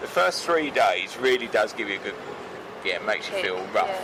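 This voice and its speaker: Fairly quick male speech with very wide pitch swings amid noticeable background noise. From Kent, England. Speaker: farmer. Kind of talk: interview answer.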